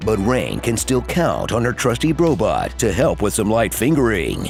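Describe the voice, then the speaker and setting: A man talks at a moderate pace with very even loudness. Music plays in the background. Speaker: voice actor. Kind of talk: comedic movie trailer narration.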